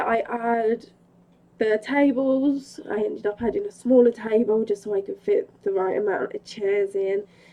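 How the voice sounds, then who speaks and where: Through noticeable background noise, a woman's fairly high voice comes across with lively intonation. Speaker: gaming video creator. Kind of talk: tutorial. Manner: casual.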